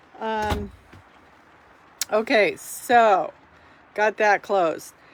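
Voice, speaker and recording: Speaking very slowly, a woman uses a fairly high voice with ordinary pitch variation. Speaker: vlogger and realtor. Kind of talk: casual vlog tour. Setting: inside RV in heavy rain. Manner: loud.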